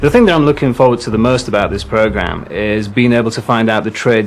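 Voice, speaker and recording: A man with a West Yorkshire accent. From northern England, Huddersfield, West Yorkshire. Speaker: game show contestant. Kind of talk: interview. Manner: hesitant, with fillers.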